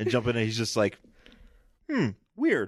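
A man speaking at a moderate pace. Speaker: podcast host. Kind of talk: casual chat.

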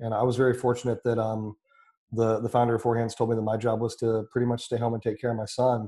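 A man speaks at a very fast pace in a dark, mellow, somewhat breathy voice. His intonation is monotone and flat, over a quiet background. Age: 30s. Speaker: brewery sales and marketing. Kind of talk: casual chat.

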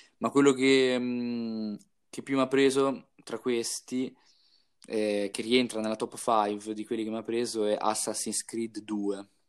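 On a very clean recording with a silent background, a man talks at a very slow pace with a medium pitch and monotone, flat intonation. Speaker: podcast co-host. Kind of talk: casual chat.

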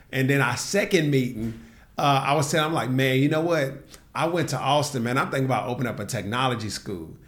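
Very fast speech from a man at medium pitch with ordinary pitch variation, and audible room echo. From US South, Nashville, Tennessee. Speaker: entrepreneur and tech bootcamp co-founder. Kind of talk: casual interview conversation.

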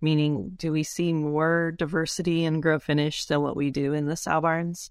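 In a very clean recording with a silent background, a woman with an unremarkable speaking voice and fairly low pitch speaks at a moderate pace. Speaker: podcast host. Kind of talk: interview.

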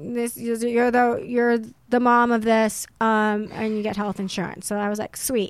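Speaking fairly slowly in an unremarkable speaking voice, a woman keeps a fairly high pitch and fairly even intonation on a very clean recording with a silent background. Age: 30s. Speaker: actress and model. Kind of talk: casual chat. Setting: studio.

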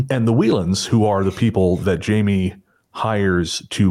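Recorded very cleanly against a silent background, a man with a Canadian accent talks with a very deep, low pitch and ordinary pitch variation. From Canada, small town. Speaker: podcast host. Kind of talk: casual chat.

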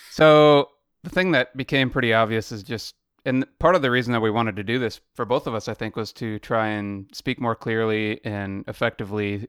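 In a plain, everyday voice, a man speaks at a fairly quick pace with medium pitch and ordinary pitch variation, the sound dry and close with no echo and the recording very clean against a silent background. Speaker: podcast co-host. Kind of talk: casual chat. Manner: laid-back, laughs often.

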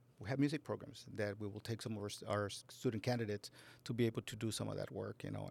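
On a very clean recording with a silent background, a man with an American accent speaks very fast in a fairly low voice with vocal fry. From Laredo, Texas. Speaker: school district administrator. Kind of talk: interview.

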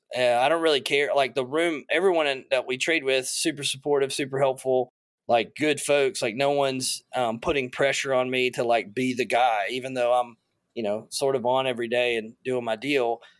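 A man with a plain, everyday voice speaks at a moderate pace, medium in pitch and fairly even in intonation, on a very clean recording with a silent background. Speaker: trader. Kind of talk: casual chat.

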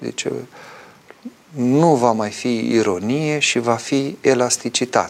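A man of medium pitch talks at a very slow pace with long, frequent pauses and ordinary pitch variation, over noticeable background noise. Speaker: Orthodox priest answering viewer questions. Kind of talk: live call-in religious talk show.

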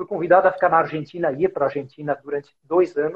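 Here a man speaks at a fairly high pitch, in an ordinary speaking voice. His intonation stays fairly even. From Brazil, São Paulo. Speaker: podcast host, business executive. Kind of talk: casual interview chat. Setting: Instagram live, video call.

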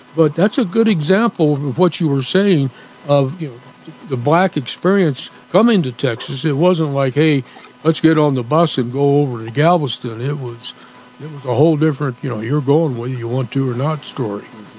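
Here a man with fairly high pitch and ordinary pitch variation talks at a moderate pace. His loudness swings widely, and there is noticeable background noise. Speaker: radio co-host. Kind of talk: casual chat.

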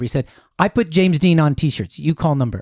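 With a Midwestern American accent, a man speaks very fast at a fairly high pitch with lively intonation, in a very clean recording with a silent background and a dry, close sound with no echo. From Columbus, Ohio. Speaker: author and happiness coach. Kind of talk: interview storytelling.

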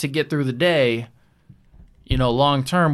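A plain, everyday voice from a man at medium pitch, with a fairly quick pace and ordinary pitch variation. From US Midwest, Janesville, Wisconsin. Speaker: podcast guest. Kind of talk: casual chat.

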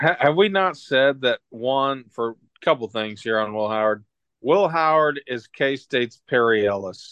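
An ordinary speaking voice, this man's has lively intonation and a fairly slow pace. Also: medium pitch for a man. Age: 30s. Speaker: sports podcast co-host. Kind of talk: casual chat.

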